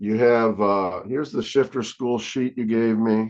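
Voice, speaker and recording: At a moderate pace against a quiet background, a man uses a normal speaking voice with a medium pitch and ordinary pitch variation. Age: 60s. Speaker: comic book artist. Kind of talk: casual interview chat.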